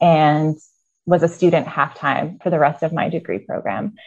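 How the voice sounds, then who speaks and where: A woman with a Midwestern American accent, fairly low in pitch, at a moderate pace against a quiet background. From US Midwest (Iowa). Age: 30s. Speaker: university program leader and hospice volunteer. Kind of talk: interview.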